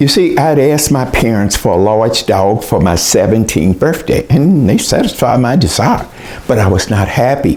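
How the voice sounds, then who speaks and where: Someone speaks at a moderate pace with lively intonation in an American accent. Noticeable background noise sits behind the voice. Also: man, medium pitch for a man. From US South, southeastern Oklahoma. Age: 80s+. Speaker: educator and author. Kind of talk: storytelling presentation.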